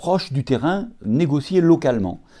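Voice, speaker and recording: A man's fairly high voice at a fairly slow pace, with very wide pitch swings and music in the background. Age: 60s. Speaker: occupational physician. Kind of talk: interview. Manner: hesitant, many filler sounds.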